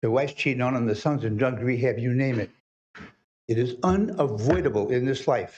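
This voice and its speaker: Somewhat breathy, a man speaks fairly quickly at medium pitch with ordinary pitch variation. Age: 80s+. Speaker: public commenter. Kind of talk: public comment at council meeting. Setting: city council meeting.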